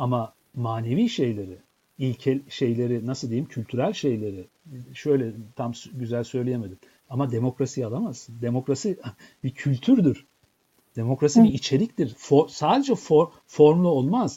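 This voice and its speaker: A dark, mellow tone comes with a somewhat breathy quality in this voice. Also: man, medium pitch for a man, ordinary pitch variation, moderate pace. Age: 50s. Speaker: professor and author. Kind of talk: interview.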